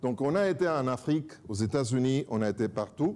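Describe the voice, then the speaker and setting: A man with a strong Spanish accent and a dark, mellow tone, speaking at a moderate pace. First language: Spanish (speaking French). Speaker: pastor and church director. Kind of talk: self-introduction to congregation.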